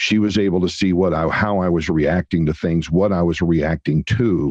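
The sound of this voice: In a low voice with a slightly mellow tone and a slightly husky edge, a man talks at a moderate pace with ordinary pitch variation.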